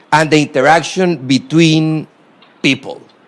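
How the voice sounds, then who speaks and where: Noticeable background noise surrounds this recording. A man speaks at a fairly slow pace. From Costa Rica. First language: Spanish. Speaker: former government minister, guest lecturer. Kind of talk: lecture; reading prepared remarks aloud. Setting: university lecture hall with audience. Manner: halting, many fillers.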